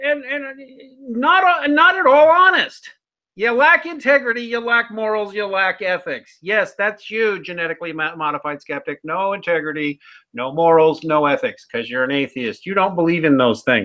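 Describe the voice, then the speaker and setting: A raised, projected voice with a Midwestern American accent, a bright, sharp tone, very wide pitch swings and a moderate pace. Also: man, high pitch for a man. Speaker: atheism critic channel host. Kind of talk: casual chat. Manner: animated.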